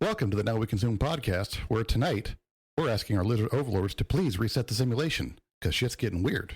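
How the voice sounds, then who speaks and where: At a very fast pace, a man talks in a medium pitch with lively intonation, very even loudness and a somewhat breathy quality, on a very clean recording with a silent background. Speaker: podcast host. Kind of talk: casual chat.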